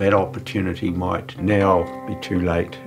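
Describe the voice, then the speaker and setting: A man's speech moves at a fairly slow pace. Clear music can be heard behind him. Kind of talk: documentary interview answer. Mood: sad, wistful. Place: home room.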